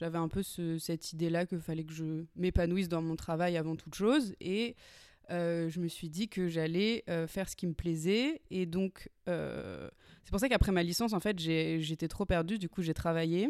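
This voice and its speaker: In a very clean recording with a silent background, a woman with an ordinary speaking voice and a fairly low pitch speaks at a fairly slow pace with ordinary pitch variation. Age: 20s. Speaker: screenwriter. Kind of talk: interview.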